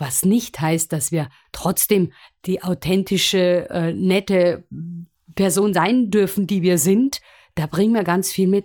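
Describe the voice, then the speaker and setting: A woman speaks very slowly at a medium pitch, in a dark, mellow tone with ordinary pitch variation. The recording is very clean with a silent background and a dry, close sound with no echo. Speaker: musical performer and presentation coach. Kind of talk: interview. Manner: animated.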